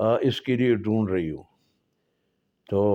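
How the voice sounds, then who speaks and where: A man talks in a Pashto accent. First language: Pashto (speaking Hindi). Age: 80s+. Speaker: storyteller. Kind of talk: personal storytelling. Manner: halting.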